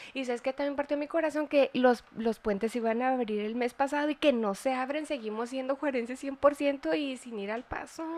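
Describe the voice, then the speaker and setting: A woman talks at a moderate pace with hardly any pauses. Her high voice, in a Mexican accent, shows ordinary pitch variation. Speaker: nutritionist podcast host. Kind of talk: casual chat.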